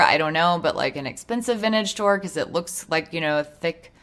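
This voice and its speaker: A woman with a fairly low pitch speaks in an ordinary speaking voice, her intonation lively. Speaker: gaming video creator. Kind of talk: casual commentary over gameplay.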